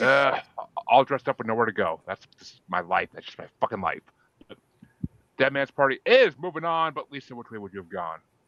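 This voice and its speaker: A man with a slight Boston accent speaks at a medium pitch and a fairly quick pace, with long, frequent pauses and vocal fry. His tone is bright and sharp, with very wide pitch swings and big swings in loudness. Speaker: podcast host. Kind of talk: casual chat. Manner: animated.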